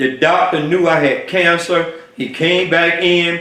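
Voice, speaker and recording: This man's voice sits high in pitch. Noticeable background noise and audible room echo fill the recording. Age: 70s. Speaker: health vlogger. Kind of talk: personal testimony. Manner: halting, many fillers.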